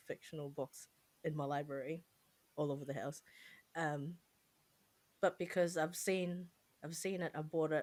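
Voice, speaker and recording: At a moderate pace, a woman speaks at a fairly low pitch with ordinary pitch variation. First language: not English. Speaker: podcast co-host. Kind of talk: casual chat.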